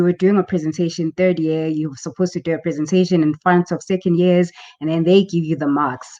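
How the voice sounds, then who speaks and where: Her pitch is fairly low and her tone dark and mellow, with fairly even intonation. The woman speaks at a fairly quick pace in a dry, close sound with no echo. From South Africa, KwaZulu-Natal. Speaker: journalist and author. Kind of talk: interview.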